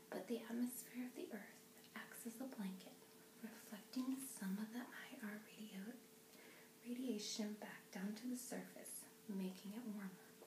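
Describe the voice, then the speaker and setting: A soft-spoken woman whispers at a fairly slow pace over noticeable background noise. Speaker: ASMR creator. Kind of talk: ASMR book reading. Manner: soft-spoken, whispering.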